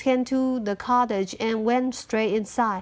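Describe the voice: A woman with a fairly bright tone talks at a fairly slow pace.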